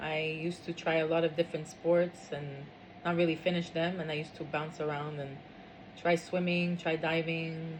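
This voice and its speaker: Over noticeable background noise, a woman with a French accent speaks at a moderate pace and fairly low pitch in a monotone, flat intonation. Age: 50s. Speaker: interviewee. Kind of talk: interview. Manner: hesitant, many fillers.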